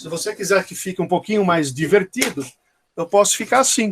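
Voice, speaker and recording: In a dry, close sound with no echo, a man with a Brazilian accent speaks at a high pitch. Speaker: dentistry professor. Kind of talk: lecture. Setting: online class.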